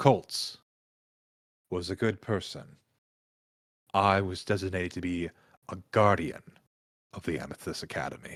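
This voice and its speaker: A put-on character voice from a man, very deep and low in pitch, with long, frequent pauses in a very clean recording over a silent background. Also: moderate pace. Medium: actual play. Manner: literal, earnest.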